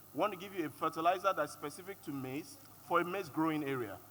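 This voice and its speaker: A man with a Yoruba accent at a very fast pace, fairly high in pitch, bright and sharp in tone, with ordinary pitch variation. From Nigeria (Yoruba). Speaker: panelist. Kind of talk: panel discussion.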